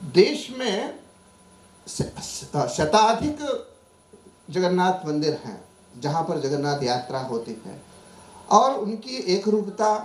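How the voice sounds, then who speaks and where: With a Marathi accent and a high pitch, a man speaks in very wide pitch swings and big swings in loudness, taking long, frequent pauses amid audible room echo and noticeable background noise. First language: Marathi (speaking Hindi). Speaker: professor. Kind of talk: conference talk. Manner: formal; halting.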